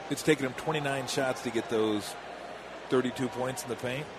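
Fairly slow, fairly even speech over noticeable background noise. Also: man. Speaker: color commentator, game analyst. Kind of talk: live game analysis, conversational commentary. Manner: relaxed, conversational, matter-of-fact.

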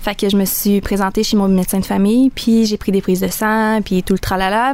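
A woman at medium pitch and moderate pace. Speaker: young mother. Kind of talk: interview testimony. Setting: studio.

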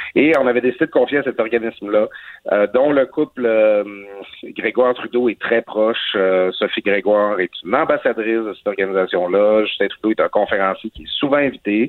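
His pitch variation is ordinary. The man's voice sits at a medium pitch. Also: fairly quick pace. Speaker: newspaper columnist. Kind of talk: commentary. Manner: halting.

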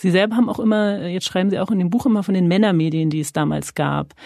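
A woman at a very fast pace, dark and mellow in tone, medium in pitch with ordinary variation, against a quiet background. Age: 30s. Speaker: journalist interviewer. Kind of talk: interview. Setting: podcast studio.

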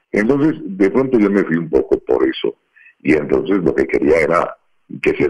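A man's moderately paced speech comes through in a dry, close sound with no echo. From Colombia, Bogotá. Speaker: voice actor. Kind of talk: interview conversation.

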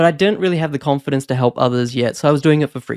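In a dry, close sound with no echo, a man with a fairly high-pitched voice talks very fast. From New Zealand and Australia. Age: 30s. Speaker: property investment podcaster. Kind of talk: monologue to camera. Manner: casual, frequent laughs.

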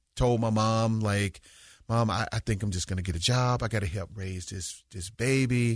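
Against a quiet background, a man with a fairly low voice talks in a Southern US accent. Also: fairly even intonation, moderate pace. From US South. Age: 50s. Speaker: school principal. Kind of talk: interview conversation.

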